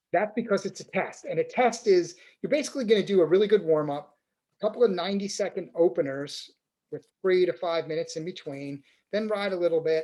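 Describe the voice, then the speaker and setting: Talking at a very fast pace, a man has a high pitch, a dark, mellow tone and ordinary pitch variation. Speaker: cycling coach. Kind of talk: webinar tutorial. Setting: online webinar.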